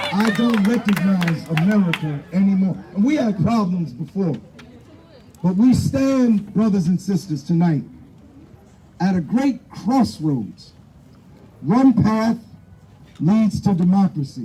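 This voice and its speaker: Speaking at a fairly slow pace with long, frequent pauses, a high-pitched man keeps his loudness very even. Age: 60s. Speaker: rally speaker. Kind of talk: protest speech. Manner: impassioned, repetitive emphasis.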